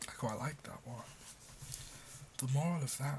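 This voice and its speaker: A man's medium-pitched, somewhat breathy voice with a gentle tone, a British accent and fairly even intonation. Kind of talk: casual ASMR talk to the listener. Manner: soft, gentle, relaxing.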